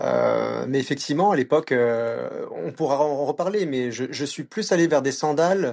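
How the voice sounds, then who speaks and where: A fairly high-pitched male voice with lively intonation. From France, Paris. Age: 40s. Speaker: running clinic manager and adventure travel founder. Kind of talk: podcast interview.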